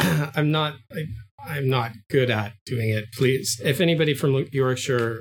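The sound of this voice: An unforced reading voice with ordinary pitch variation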